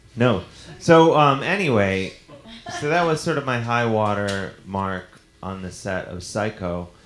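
In an ordinary speaking voice, a man with a fairly low pitch talks at a fairly slow pace, with lively intonation and big swings in loudness. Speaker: comedian podcast host. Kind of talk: live comedy show banter. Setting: stage with audience. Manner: joking, playful.

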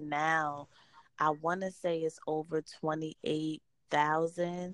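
Very slow speech from a woman with a northeastern US accent, very deep and low in pitch, monotone and flat, in a dry, close sound with no echo. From New Jersey. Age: 30s. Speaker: entrepreneur and women's empowerment advocate. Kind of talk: interview.

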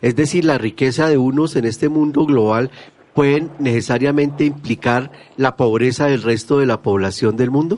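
A man speaks at a medium pitch in a plain, everyday voice. His pace is moderate, with ordinary pitch variation and very even loudness. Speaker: radio host. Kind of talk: radio talk show.

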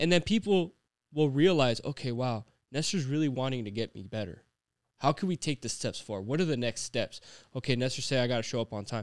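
At a fairly quick pace, a man with an unremarkable speaking voice talks in a medium pitch with lively intonation, the sound dry and close with no echo. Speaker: podcast co-host. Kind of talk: casual chat.

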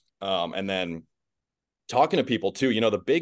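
This man has a plain, everyday voice with an American accent and fairly low pitch. He moves at a fairly quick pace with ordinary pitch variation over a quiet background. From US Midwest. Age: 20s. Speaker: basketball play-by-play announcer. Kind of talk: casual interview. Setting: video call.

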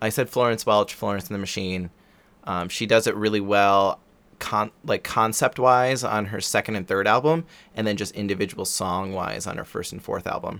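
On a very clean recording with a silent background, a man with a normal speaking voice talks at fairly low pitch with ordinary pitch variation. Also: moderate pace. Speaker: podcast host. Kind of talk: casual interview.

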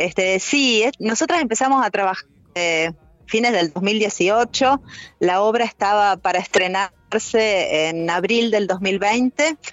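A woman's medium-pitched voice, very slow, with lively intonation and very even loudness. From Argentina, Rosario. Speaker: dance director. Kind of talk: casual interview.

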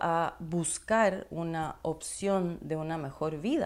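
Speaking at a fairly low pitch, a woman has a dark, mellow tone. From Ecuador. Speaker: podcast host and nutrition coach. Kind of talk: personal storytelling monologue.

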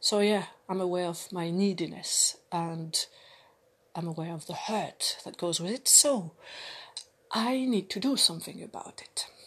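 A woman speaks slowly-ish with a French accent and a medium pitch. Her intonation is lively, broken by long, frequent pauses. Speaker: vlogger. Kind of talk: personal monologue. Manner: halting, many fillers.

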